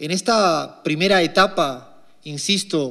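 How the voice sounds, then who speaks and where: This man's voice sits at a fairly high pitch. His intonation stays fairly even. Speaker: economist. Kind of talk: lecture.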